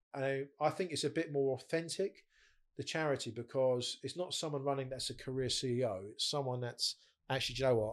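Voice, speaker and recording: A man talks at a fairly quick pace in an ordinary speaking voice with a fairly high pitch. His pitch variation is ordinary, and the recording is very clean with a silent background. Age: 40s. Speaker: bereaved father and charity founder. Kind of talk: casual chat.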